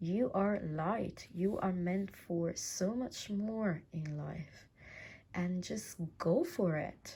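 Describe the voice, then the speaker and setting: At a very slow pace, a woman speaks with a dark, mellow tone, a medium pitch, ordinary pitch variation and a somewhat breathy quality. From Italy. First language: Italian. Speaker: tarot reader. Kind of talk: tarot reading. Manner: halting.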